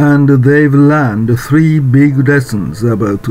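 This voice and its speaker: Noticeable background noise fills the recording. Over it, a man talks very slowly. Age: 70s. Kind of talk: informational narration.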